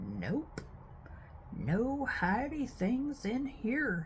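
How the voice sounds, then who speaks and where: The speaker uses a put-on character voice. Clear background noise sits behind it. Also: woman, high pitch for a woman. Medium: read story.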